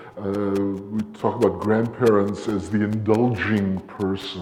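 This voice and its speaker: Amid noticeable background noise and audible room echo, a man speaks with a fairly low pitch. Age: 60s. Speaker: academic presenter. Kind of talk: conference talk. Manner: halting.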